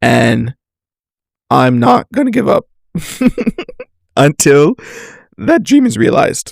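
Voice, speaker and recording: A raspy, put-on character voice from a man, fairly slow with long, frequent pauses and very even loudness. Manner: enthusiastic.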